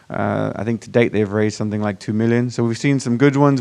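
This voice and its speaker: A man with an American accent speaks at a medium pitch, his intonation fairly even. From Virginia, US. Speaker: startup founder and conference organizer. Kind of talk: conference presentation. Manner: casual, hesitant with fillers.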